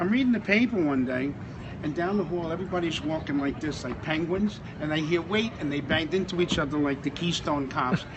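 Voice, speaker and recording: A man with an American accent, fairly high in pitch, at a fairly quick pace with ordinary pitch variation, over noticeable background noise. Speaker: former firefighter and shoe shiner at an airport. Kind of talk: casual storytelling to camera.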